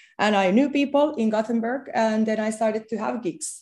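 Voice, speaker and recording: A woman's fairly high voice with a dark, mellow tone, at a moderate pace, with a Finnish accent. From Finland. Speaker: DJ. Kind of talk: interview.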